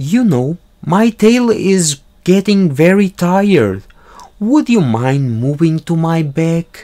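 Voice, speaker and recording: A man puts on a character voice, speaking fairly slowly at a high pitch. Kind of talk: children's story read-aloud. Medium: read story. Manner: sly, smooth. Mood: sly, coaxing.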